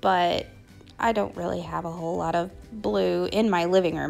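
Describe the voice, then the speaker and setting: Faint music plays in the background. A woman speaks over it at a moderate pace. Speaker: shopping vlogger. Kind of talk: casual vlog chat. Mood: cheerful, light laughter. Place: shop. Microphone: phone near.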